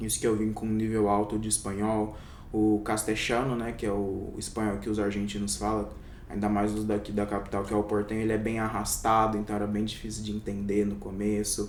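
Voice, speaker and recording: Audible room echo surrounds a man with a fairly low pitch. He talks at a fairly quick pace with a monotone, flat intonation. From interior of São Paulo state, Brazil. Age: 20s. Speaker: doctor. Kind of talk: interview.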